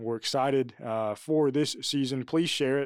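A man with a plain, everyday voice at a medium pitch speaks at a fairly quick pace with fairly even intonation, in a very clean recording with a silent background. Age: 20s. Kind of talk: casual chat.

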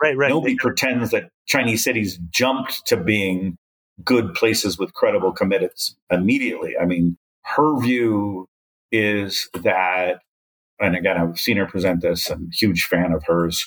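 Dry and close with no echo, this is an unremarkable speaking voice: a man with a fairly low pitch, ordinary pitch variation and a moderate pace. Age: 60s. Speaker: development economist. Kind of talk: interview.

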